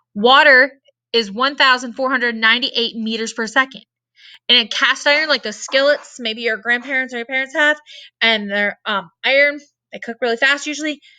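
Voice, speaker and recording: Loud and with a bright, sharp tone, a woman with an American accent speaks at a high pitch and a fairly quick pace. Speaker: science teacher. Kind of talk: lecture. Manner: energetic.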